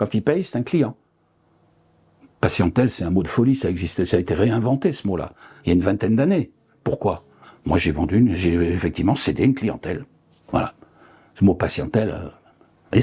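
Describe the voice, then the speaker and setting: Speaking at a fairly quick pace, a man uses very wide pitch swings and long, frequent pauses. His voice is somewhat breathy, with a dark, mellow tone. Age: 70s. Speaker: retired osteopath. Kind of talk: interview. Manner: halting, many fillers.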